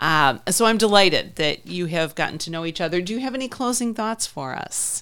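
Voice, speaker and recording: Lively intonation and a fairly quick pace mark a plain, everyday voice. Pauses are hardly present, and the recording is very clean with a silent background. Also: woman, fairly low pitch for a woman. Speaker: podcast host. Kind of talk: interview.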